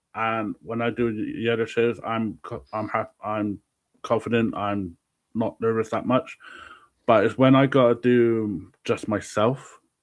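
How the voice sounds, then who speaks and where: Against a quiet background, a man with a medium pitch speaks at a fairly slow pace in a monotone, flat intonation. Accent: strong Southwest English. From Southwest England. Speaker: wrestling promotion founder. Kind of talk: casual chat.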